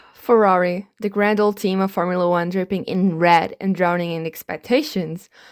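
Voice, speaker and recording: A woman with a non-native accent at a moderate pace, in a dry, close sound with no echo and a very clean recording with a silent background. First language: not English. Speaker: F1 commentary vlogger. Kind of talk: comedic commentary.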